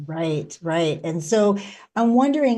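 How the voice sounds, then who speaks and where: A woman with a West Coast American accent talks at a moderate pace in a dark, mellow tone. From Oregon, US. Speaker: podcast host. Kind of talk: interview podcast.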